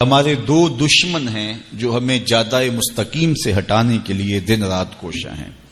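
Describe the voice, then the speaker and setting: This man's intonation is lively. His pitch is medium. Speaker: Islamic scholar giving a sermon. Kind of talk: religious sermon / lecture. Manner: soft-spoken.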